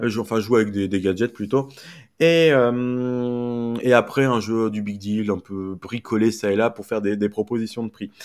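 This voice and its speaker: A man at a medium pitch with fairly even intonation and a fairly slow pace, on a very clean recording with a silent background. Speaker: media commentator streamer. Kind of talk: live stream casual chat. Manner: hesitant, many fillers; speaking louder.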